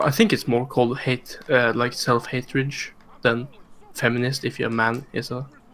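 There is noticeable background noise behind this man. He talks at a moderate pace with monotone, flat intonation. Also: medium pitch for a man. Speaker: gamer in stream voice chat. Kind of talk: casual chat. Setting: online voice chat.

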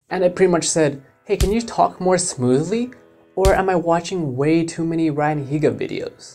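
At a moderate pace, the voice carries on with music playing underneath. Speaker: YouTuber. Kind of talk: casual talk to camera.

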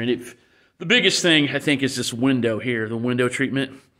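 At a moderate pace, a man talks with fairly even intonation against a quiet background. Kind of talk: casual walkaround commentary. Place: garage. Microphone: phone near.

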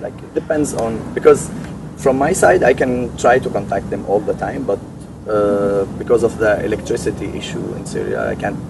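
Over loud background noise, a man speaks at a moderate pace, and the sound is dry with no echo. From Syria. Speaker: refugee and interpreter. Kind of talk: interview. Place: garden. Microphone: camera far.

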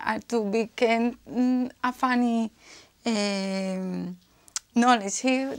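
A woman speaks very slowly with a strong Spanish accent and monotone, flat intonation. The background is quiet. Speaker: IELTS candidate. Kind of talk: exam speaking answer. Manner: hesitant, frequent self-corrections and false starts. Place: office. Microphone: lapel.

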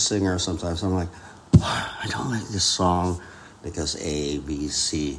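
Over noticeable background noise, a man talks with a fairly low pitch. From Philippines. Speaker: concert pianist; podcast guest. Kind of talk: casual interview chat. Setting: in Austria, mountain ski town. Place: home room.

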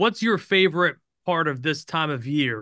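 With an American accent, a man speaks at a fairly high pitch with ordinary variation over a quiet background. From Albany, New York. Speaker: podcast host. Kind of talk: interview. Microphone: video call.

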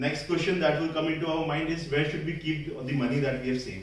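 Audible room echo surrounds a man whose pitch varies in an ordinary way. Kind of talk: prepared public speech. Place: hall. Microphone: camera far.

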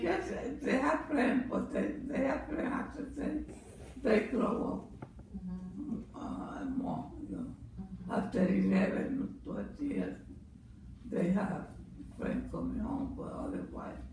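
A woman speaks at a very slow pace. Audible room echo and noticeable background noise are present. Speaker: mother. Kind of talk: interview answer. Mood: calm, reminiscing about raising children. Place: home room. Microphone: camera far.

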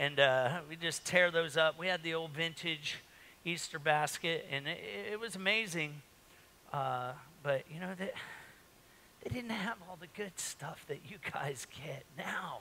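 Fairly slow speech over light background noise. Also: man, high pitch for a man, ordinary pitch variation. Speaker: pastor. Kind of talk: sermon. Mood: jovial, joking. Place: church.

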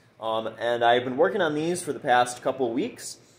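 A man's speech moves at a fairly quick pace and has ordinary pitch variation. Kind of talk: casual vlog chat. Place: workshop.

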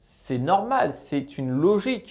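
Very wide pitch swings over a quiet background. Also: man. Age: 20s. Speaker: personal finance youtuber. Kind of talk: tutorial. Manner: casual, addresses viewer as tu.

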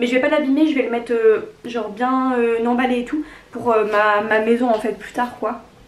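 In a room with audible echo, a woman speaks at a high pitch with fairly even intonation. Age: 20s. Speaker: lifestyle YouTuber. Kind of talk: casual vlog, gift haul.

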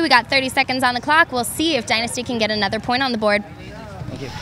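A woman's high-pitched, upbeat, energetic voice at a very fast pace, with ordinary pitch variation, light background noise and a dry sound with no echo. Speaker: sideline reporter. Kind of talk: sideline interview. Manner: upbeat, energetic interviewer. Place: open country. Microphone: handheld.

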